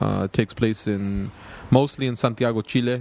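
There is noticeable background noise as a man with an American accent speaks at a moderate pace in a fairly low pitch. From Los Angeles (Lennox). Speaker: writer and documentary filmmaker. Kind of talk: interview.

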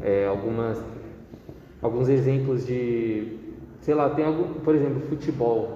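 A man at medium pitch with ordinary pitch variation, fairly slow pace and long, frequent pauses, amid noticeable background noise and audible room echo. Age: 20s. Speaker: marketing student. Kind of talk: casual interview.

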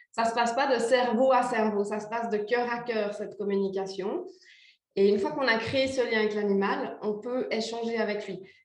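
There is audible room echo as a woman talks with fairly even intonation. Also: fairly high pitch for a woman, moderate pace. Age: 40s. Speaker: animal communicator. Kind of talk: interview.

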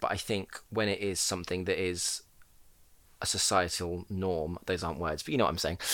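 A man speaks with a southern English accent. The recording is very clean, with a silent background. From Portsmouth, southern England. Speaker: drag queen. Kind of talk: casual chat.

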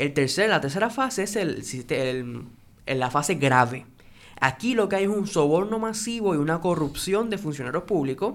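Recorded very cleanly against a silent background, the speaker talks at a moderate pace. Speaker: podcast co-host. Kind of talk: interview.

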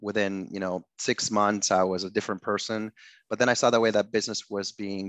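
In a dry, close sound with no echo and a quiet background, a man speaks at a very fast pace with a fairly low pitch and monotone, flat intonation. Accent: Spanish. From Ecuador. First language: Spanish. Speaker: tech startup founder. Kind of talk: interview.

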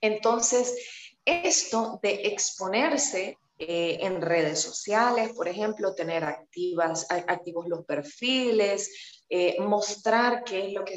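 Very slow, medium-pitched speech from a woman, the pitch varying in an ordinary way. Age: 30s. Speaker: fitness coach. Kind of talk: interview.

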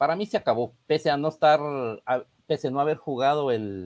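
At a moderate pace, a man speaks with a dry, close sound and no echo. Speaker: football pundit. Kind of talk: casual chat.

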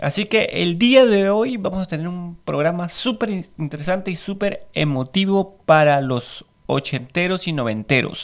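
A man with a high voice speaks at a fairly slow pace with hardly any pauses. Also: lively intonation. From Peru. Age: 30s. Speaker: podcast host. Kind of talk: casual monologue. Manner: halting.

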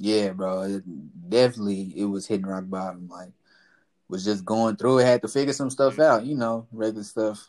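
A normal speaking voice with an American accent, ordinary pitch variation and big swings in loudness, on a very clean recording with a silent background. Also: man, fairly low pitch for a man, moderate pace. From Texas, Fort Worth (South Side). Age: 20s. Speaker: basketball player. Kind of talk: casual chat.

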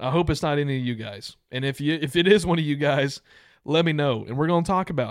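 A man with a fairly high pitch and ordinary pitch variation, very fast, in a very clean recording with a silent background. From Texas/Louisiana border region. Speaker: podcast co-host. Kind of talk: casual chat. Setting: video recording studio.

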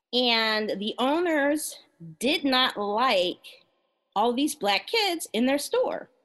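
This woman talks very slowly in a high voice. Her intonation is lively, and her loudness stays very even. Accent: General American. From Maryland, US. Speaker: guest, music industry professional. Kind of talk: casual interview chat.

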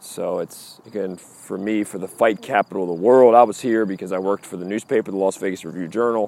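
A man at a very fast pace with hardly any pauses, a dark, mellow tone, fairly even intonation and big swings in loudness, in a dry, close sound with no echo. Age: 40s. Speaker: podcast host. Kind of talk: walking monologue. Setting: outdoors, walking streets at night. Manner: casual, repetitive.

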